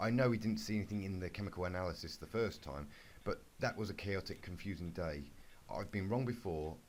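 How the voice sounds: The voice heard here is a natural reading voice.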